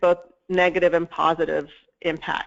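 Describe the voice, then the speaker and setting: A woman speaks in a shaky voice. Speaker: mental health services researcher. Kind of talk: webinar presentation. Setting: webinar.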